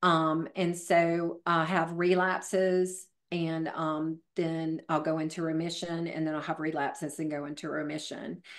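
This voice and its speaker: Fairly slow, flat, monotone delivery in a Southern US accent with hardly any pauses. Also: woman, fairly low pitch for a woman, quiet background. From US South. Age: 50s. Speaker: fitness trainer; podcast guest, fitness trainer. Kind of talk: casual interview. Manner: staggered, halting speech. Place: home room. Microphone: video call.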